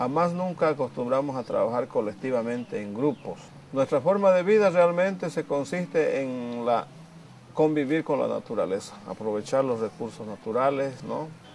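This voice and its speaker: Over light background noise, a man speaks at a moderate pace with lively intonation. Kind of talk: documentary interview. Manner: halting. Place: home room. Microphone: lapel.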